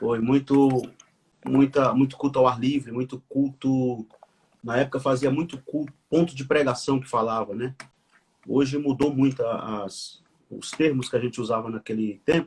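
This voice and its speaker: A man with a medium-pitched, somewhat breathy voice talks at a moderate pace. His intonation stays fairly even. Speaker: pastor and author. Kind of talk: conversational interview, live stream. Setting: live video stream. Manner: halting, with repetitions.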